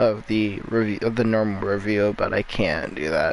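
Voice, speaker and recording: A man speaks quietly at a fairly slow pace and a fairly low pitch, with noticeable background noise. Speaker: gaming youtuber. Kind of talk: gameplay commentary. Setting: at another family's house at night. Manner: quiet, low volume; halting, filler-heavy.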